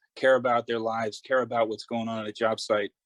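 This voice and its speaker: A man with a New York accent speaks at a medium pitch, and the sound is dry and close with no echo. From Long Island, New York. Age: 60s. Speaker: glazier, award nominee. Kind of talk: interview.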